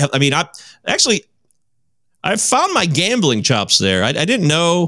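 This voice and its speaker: With an American accent, a man talks at a fairly quick pace, his bright, sharp voice carrying vocal fry and very wide pitch swings. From Michigan. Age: 40s. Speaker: podcaster and counseling intern. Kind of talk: casual chat.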